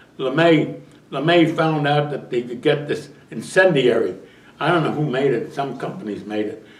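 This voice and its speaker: A man's fairly high voice at a moderate pace, ordinary pitch variation, audible room echo and noticeable background noise. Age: 90s. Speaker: war veteran. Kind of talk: interview. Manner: halting.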